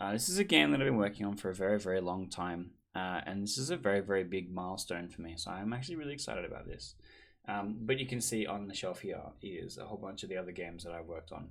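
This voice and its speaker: A man with an Australian accent talks at a very fast pace, his fairly low pitch showing ordinary variation. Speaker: board game designer, vlogger. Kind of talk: casual vlog recap.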